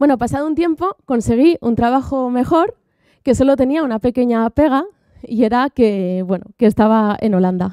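Against a quiet background, a woman with a high, dark and mellow voice speaks at a moderate pace with lively intonation, in a dry sound with no echo. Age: 30s. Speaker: software developer; conference speaker. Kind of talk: conference talk. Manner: halting. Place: stage. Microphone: handheld.

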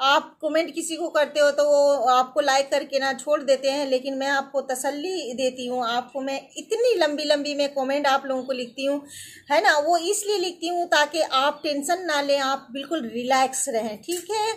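Few pauses break up this woman's moderate pace. Her pitch is high with ordinary variation.

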